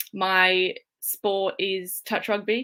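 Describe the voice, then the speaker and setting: A woman with an Australian accent speaks at a medium pitch in a bright, sharp tone. The recording is very clean, with a silent background. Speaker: strength and conditioning coach. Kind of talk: presentation.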